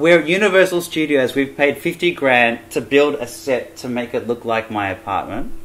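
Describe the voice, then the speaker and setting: With an Australian accent, a man speaks at a moderate pace in a fairly high pitch with lively intonation. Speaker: jazz pianist. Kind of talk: casual vlog talk to camera.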